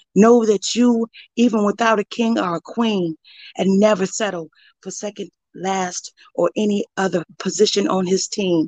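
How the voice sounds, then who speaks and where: The sound is dry and close, with no echo, on a normal speaking voice. Intonation is fairly even at a moderate pace. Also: woman, medium pitch for a woman. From Joliet, Illinois, US Midwest. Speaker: poet and former preschool teacher. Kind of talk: spoken word poetry, freestyle. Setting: online live stream.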